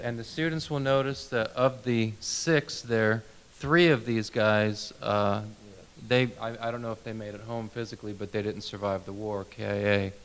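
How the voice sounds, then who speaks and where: At a moderate pace, a man with a medium pitch and ordinary pitch variation speaks in a plain, everyday voice. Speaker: interviewer. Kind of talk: interviewer questions.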